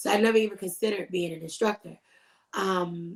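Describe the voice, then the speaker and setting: A woman has a normal speaking voice at a medium pitch. She talks at a moderate pace with ordinary pitch variation. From Richmond, Virginia, US. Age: 30s. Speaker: fitness business owner and dance fitness instructor. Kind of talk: interview.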